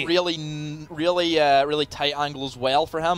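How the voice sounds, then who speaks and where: A man talks at a moderate pace. Music runs behind his voice. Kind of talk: sports commentary. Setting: sports broadcast.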